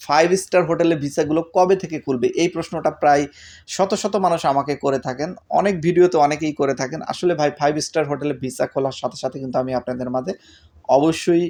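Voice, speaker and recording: Against a quiet background, a man speaks in a normal speaking voice. His pitch is fairly high, with ordinary pitch variation. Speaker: YouTube news vlogger on Kuwait visas. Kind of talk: informal vlog news update.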